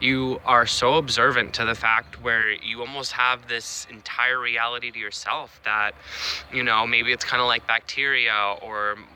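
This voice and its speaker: A man with a medium pitch speaks in a monotone, flat intonation over noticeable background noise. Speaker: astrologer. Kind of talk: solo talk to camera.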